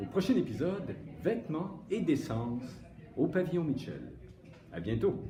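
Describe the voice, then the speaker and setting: Fairly slow speech from a man with a fairly high pitch, very wide pitch swings and long, frequent pauses, over noticeable background noise and audible room echo. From Quebec, Saguenay (Chicoutimi). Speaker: school show host / teacher. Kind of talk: scripted narration in sketch, then show outro.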